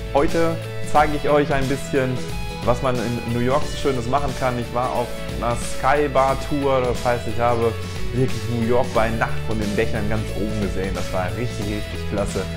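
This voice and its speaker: Clear music plays in the background as a man talks at a moderate pace. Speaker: travel vlogger. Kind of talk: casual vlog chat. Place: home room. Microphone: lapel.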